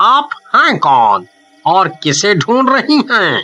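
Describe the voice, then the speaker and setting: This is a cartoonish character voice with a fairly high pitch. It moves at a very slow pace. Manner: stammers in fright.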